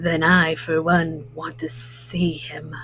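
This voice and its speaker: A raspy, put-on character voice at a very slow pace. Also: woman, very deep, low pitch for a woman. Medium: read story.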